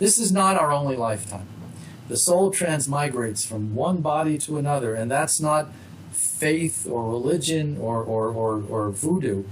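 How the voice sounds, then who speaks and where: Lively intonation from a fairly high-pitched man at a moderate pace, with audible room echo. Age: 60s. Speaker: author. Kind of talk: interview.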